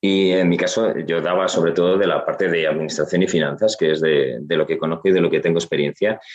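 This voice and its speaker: A man's very deep, low voice. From Asturias, Spain (Gijón). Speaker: finance consultant and trainer. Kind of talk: interview.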